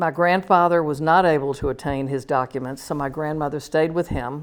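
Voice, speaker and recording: A woman with an American accent and a very deep, low pitch, at a moderate pace, in a very clean recording with a silent background. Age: 70s. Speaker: visual artist. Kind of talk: artist talk.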